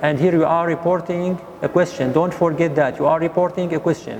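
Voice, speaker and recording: A man with a fairly high voice talking at a fairly quick pace over noticeable background noise. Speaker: English teacher. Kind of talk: lesson.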